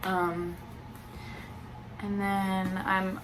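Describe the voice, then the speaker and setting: A woman at a medium pitch speaks amid noticeable background noise and audible room echo. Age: 20s. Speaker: booktuber. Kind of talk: casual vlog chat.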